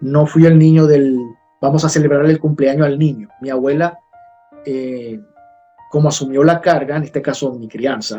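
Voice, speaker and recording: Over music in the background, a man with a fairly high voice talks at a moderate pace, his intonation fairly even and his speech broken by long, frequent pauses. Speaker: journalist. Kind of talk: interview answer.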